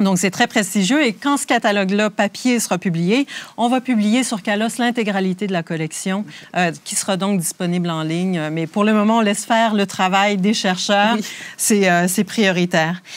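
Her pace is moderate and her pitch is medium. The woman's voice shows ordinary pitch variation. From Quebec (Rimouski). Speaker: museum conservator. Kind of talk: guided tour interview. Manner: hesitant, many fillers.

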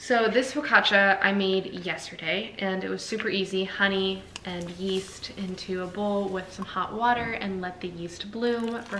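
Light background noise and audible room echo surround a woman speaking with fairly even intonation. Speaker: lifestyle vlogger. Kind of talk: casual vlog chat. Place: kitchen. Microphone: camera far.

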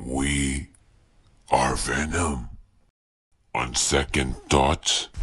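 A man does a cartoonish character voice, raspy and very deep and low in pitch, speaking at a very slow pace with long, frequent pauses. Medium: puppet. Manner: menacing, mocking.

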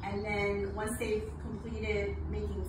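A woman's voice comes through loud background noise and audible room echo. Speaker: botanist lecturer. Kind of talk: lecture. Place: garden. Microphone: camera far.

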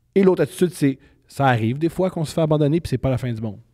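A man's very fast speech against a quiet background. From Quebec, Montreal. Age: 30s. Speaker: comedian. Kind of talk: casual chat. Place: studio. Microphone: handheld.

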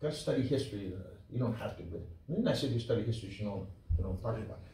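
Audible room echo surrounds a man whose voice has ordinary pitch variation. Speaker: preacher, Bible teacher. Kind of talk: sermon, Bible teaching. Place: church.

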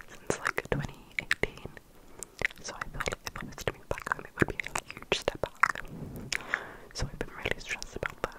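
Speaking in a whisper, a woman keeps her words coming. The pace runs fairly quick. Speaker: ASMR creator. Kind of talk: soft-spoken ASMR chat. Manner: close-mic inaudible-style whisper, rambling. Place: home room. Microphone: studio mic.

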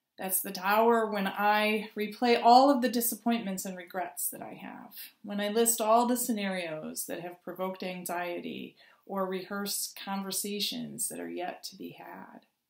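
A woman talks at a moderate pace with fairly even intonation. There is audible room echo over a quiet background. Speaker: clergy preacher. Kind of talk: sermon. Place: home room. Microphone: webcam.

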